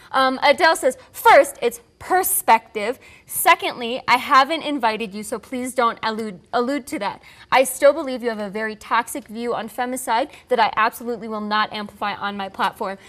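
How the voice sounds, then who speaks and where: High-pitched woman at a moderate pace with hardly any pauses, big swings in loudness and ordinary pitch variation, over a quiet background. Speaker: talk show co-host. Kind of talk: entertainment commentary. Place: studio. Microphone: lapel.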